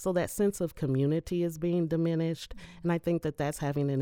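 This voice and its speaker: A woman with a Midwestern US accent, a dark, mellow tone and ordinary pitch variation. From Indiana, Indianapolis. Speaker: higher education worker and voter. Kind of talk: interview. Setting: studio.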